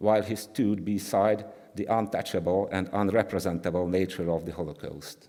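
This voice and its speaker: A man with a Hungarian accent, fairly low in pitch, dark and mellow in tone, fairly even in intonation, on a very clean recording with a silent background. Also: moderate pace. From Hungary. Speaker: art historian. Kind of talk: conference talk. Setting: conference with audience. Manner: halting; reading from script.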